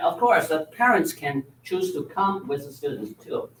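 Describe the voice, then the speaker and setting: The speech comes at a fairly slow pace in a Chinese accent. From China. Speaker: Chinese language teacher. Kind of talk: presentation to school board. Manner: repetitive tag 'all right?'.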